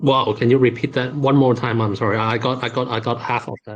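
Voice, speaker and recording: A man's medium pitch, somewhat breathy, with a non-native accent, monotone, flat intonation and a moderate pace. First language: not English. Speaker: crypto game project representative. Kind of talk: AMA interview answers. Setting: video call AMA. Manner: halting, many fillers.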